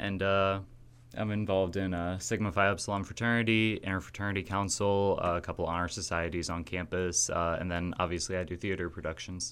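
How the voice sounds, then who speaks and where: A man with a very deep, low voice and an American accent, at a fairly quick pace with fairly even intonation. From US Midwest, Kewanee, Illinois. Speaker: college student and actor. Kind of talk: radio interview.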